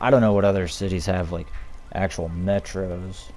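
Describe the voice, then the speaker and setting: Heard with audible room echo, a man talks in a monotone, flat intonation with a dark, mellow tone. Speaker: gaming video creator. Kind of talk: casual gameplay commentary. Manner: slow.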